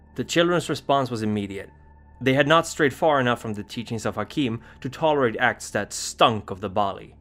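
With music in the background, a man speaks at a fairly quick pace in a dramatic tone. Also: medium pitch for a man, ordinary pitch variation. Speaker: lore narrator. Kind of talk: scripted horror lore narration, storytelling. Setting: video channel. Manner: measured, formal, dramatic.

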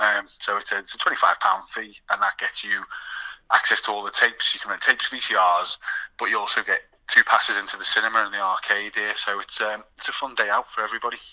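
Very fast male speech with a dry, close sound and no echo. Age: 30s. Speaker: video shop owner. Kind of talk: casual chat.

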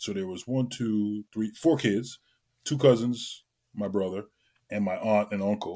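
The voice has a dark, mellow tone at a fairly slow pace. Its intonation is fairly even. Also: man. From Trinidad and Tobago. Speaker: entertainer and event host. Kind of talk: casual interview chat.

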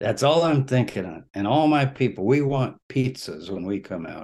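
Against a quiet background, a man with an American accent talks in an unremarkable speaking voice. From Texas. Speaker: religious studies scholar. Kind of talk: interview. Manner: conversational, with frequent fillers.

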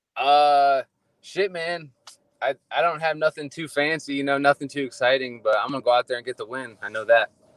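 Fairly quick and with an American accent, a man speaks in a plain, everyday voice at a fairly high pitch with ordinary pitch variation, the sound dry and close with no echo. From Ohio. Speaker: MMA fighter, Air Force member. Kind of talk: casual interview.

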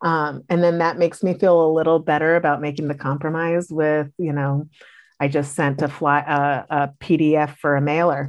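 A woman with an American accent speaks at a moderate pace in a very deep, low pitch. Her intonation is monotone and flat, and the background is quiet. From US, Washington DC area. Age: 40s. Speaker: school board member-elect. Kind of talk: interview. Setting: video call.

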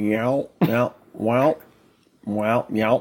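A man puts on a character voice at medium pitch. His intonation stays fairly even. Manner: mocking, nonsense meowing sounds.

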